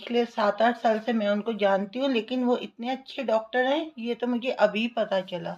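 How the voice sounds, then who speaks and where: A woman speaks in a normal speaking voice, her pitch fairly high and her intonation fairly even. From Delhi, India. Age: 60s. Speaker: retired teacher giving patient testimonial. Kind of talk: testimony.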